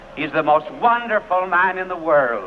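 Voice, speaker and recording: Over noticeable background noise, a man with an American accent speaks fairly slowly at a high pitch with lively intonation. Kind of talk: televised sermon.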